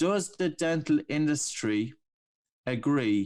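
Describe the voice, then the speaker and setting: A man in an Irish accent is captured on a very clean recording against a silent background. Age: 40s. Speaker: breathing coach. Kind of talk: interview. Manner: animated.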